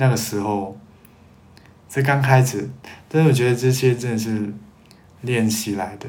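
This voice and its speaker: At a moderate pace and medium pitch, a man talks with fairly even intonation and long, frequent pauses. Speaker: podcast host. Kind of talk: casual solo chat answering listener questions. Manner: hesitant, with many fillers and repetitions.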